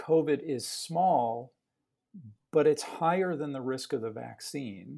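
Ordinary pitch variation marks this man's dark, mellow voice as he speaks at a fairly slow pace with an American accent. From Chicago South Side. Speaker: pediatric cardiologist. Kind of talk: interview. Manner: hesitant, many fillers.

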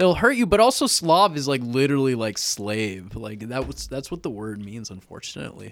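A man with an American accent speaks in a medium pitch with lively intonation. The recording is very clean, with a silent background. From US West Coast, Sacramento, California. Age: 20s. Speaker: comedian. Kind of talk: casual chat. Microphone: very close to the mic, clipping.

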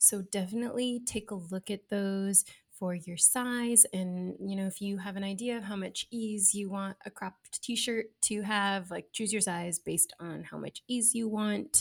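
On a very clean recording with a silent background and a dry, close sound with no echo, a woman speaks at medium pitch, somewhat breathy, at a fairly slow pace. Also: hardly any pauses. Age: 30s. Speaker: sewing pattern designer and marketer. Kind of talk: casual chat. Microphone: audio problems.

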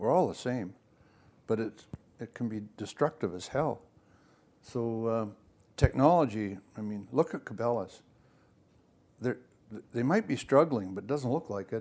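A man with a western Canadian accent speaks at a moderate pace and medium pitch, with ordinary pitch variation. Long, frequent pauses break up his speech. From Vancouver Island, British Columbia. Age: 80s+. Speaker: outdoorsman and fishing mentor. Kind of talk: casual chat. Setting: living room.

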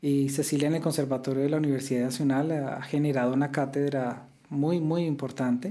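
A fairly high-pitched male voice with a dark, mellow tone, monotone, flat intonation and very even loudness, at a fairly quick pace with hardly any pauses. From Colombia. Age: 40s. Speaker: classical guitarist. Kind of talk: interview.

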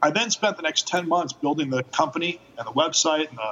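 Over noticeable background noise, a man with a fairly high voice speaks at a fairly quick pace with ordinary pitch variation. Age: 40s. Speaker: motorcycle rental company founder. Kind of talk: interview.

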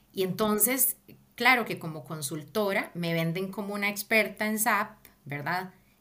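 A woman with a Costa Rican accent at a moderate pace, medium in pitch, with a bright, sharp tone and lively intonation. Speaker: project manager. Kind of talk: interview.

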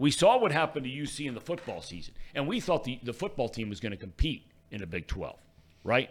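A man talks at a very fast pace in a fairly high pitch, with vocal fry. His voice makes very wide pitch swings. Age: old. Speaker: sports podcast host. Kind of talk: casual sports talk show. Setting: studio, streamed live.

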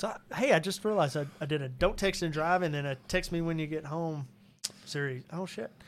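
A man with an unremarkable speaking voice and an American accent talks fairly quickly at a fairly high pitch with ordinary pitch variation. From Arkansas, US South (Cabot). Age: 40s. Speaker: musician and actor. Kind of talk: casual chat.

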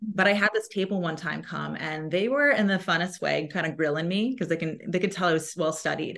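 Over noticeable background noise, a woman talks at a fairly quick pace with hardly any pauses, her fairly low pitch varying in an ordinary way. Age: 30s. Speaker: sales consultant. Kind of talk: casual chat. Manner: animated.

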